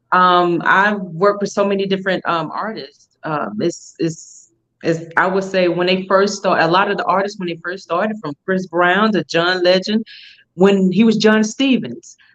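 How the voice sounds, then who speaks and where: A woman with a Southern US accent speaks at a moderate pace in a medium pitch, her intonation fairly even. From Alabama, US South. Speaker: fashion week founder. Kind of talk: interview. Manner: many fillers.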